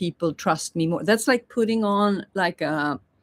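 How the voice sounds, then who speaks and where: On a very clean recording with a silent background, a woman at medium pitch speaks with lively intonation. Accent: non-native. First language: not English. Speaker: spiritual teacher. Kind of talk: livestream monologue. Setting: live YouTube stream.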